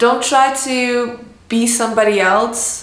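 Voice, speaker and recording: A woman with a non-native accent and a fairly high pitch, monotone, flat intonation, audible room echo and noticeable background noise. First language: not English. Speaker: illustrator and art vlogger. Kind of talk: casual tutorial vlog.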